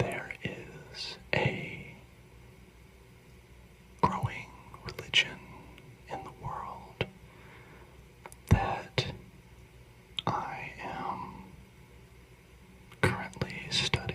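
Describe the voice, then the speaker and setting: Whispering at a very slow pace with long, frequent pauses, over noticeable background noise. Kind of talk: ASMR whispered talk on philosophy. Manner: whispered.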